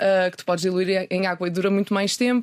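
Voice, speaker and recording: A woman speaks at a medium pitch and a fairly quick pace. Hers is an unremarkable speaking voice. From northern Portugal (Minho, Ponte da Barca). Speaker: journalist and sustainability website founder. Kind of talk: interview. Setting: radio studio.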